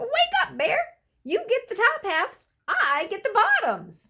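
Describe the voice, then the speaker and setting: A squeaky, extremely high-pitched put-on character voice from a woman. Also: fairly slow pace. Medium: read story. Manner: cheery, persuasive.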